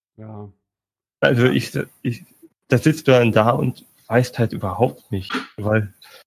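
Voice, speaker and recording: A man speaks at a very slow pace with a medium pitch, ordinary pitch variation, a somewhat breathy quality, long and frequent pauses, and big swings in loudness. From Bavaria, Munich. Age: 20s. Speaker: postman, podcast community member. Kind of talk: casual chat.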